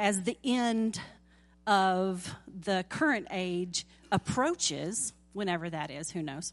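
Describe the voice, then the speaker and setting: Backed by music, a woman with a Southern US accent speaks at a very slow pace with lively intonation. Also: medium pitch for a woman. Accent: southern drawl. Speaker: lay preacher. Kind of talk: sermon. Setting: church.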